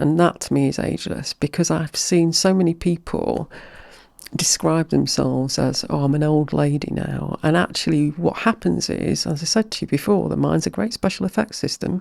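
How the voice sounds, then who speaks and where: A woman with an English accent at a moderate pace. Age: 60s. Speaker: mind-body practitioner and hypnotherapist. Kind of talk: podcast interview.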